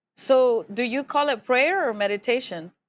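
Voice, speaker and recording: The speaker talks at a fairly slow pace with lively intonation. The recording is very clean, with a silent background. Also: woman. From Mexico. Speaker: podcast host. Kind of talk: casual chat.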